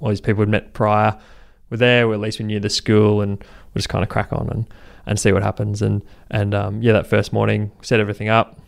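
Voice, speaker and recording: With an Australian accent, a man with a fairly low pitch speaks at a fairly quick pace in a monotone, flat delivery, on a very clean recording with a silent background. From Brisbane, Australia. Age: 20s. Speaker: charity co-founder. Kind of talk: interview. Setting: office.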